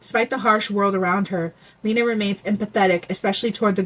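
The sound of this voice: Fairly even intonation carried by an unforced reading voice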